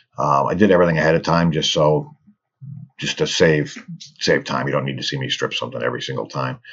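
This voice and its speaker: A man talks at a very fast pace. His very deep, low pitch carries vocal fry. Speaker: toy car customizer. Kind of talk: casual hobby tutorial narration. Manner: casual, hesitant with fillers.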